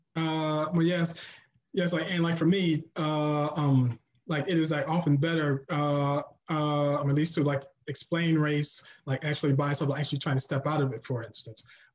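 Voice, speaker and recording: A man speaks in a somewhat breathy voice. His intonation stays fairly even. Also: fairly high pitch for a man, moderate pace. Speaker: panelist, writer. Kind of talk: panel discussion. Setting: video call. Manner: halting.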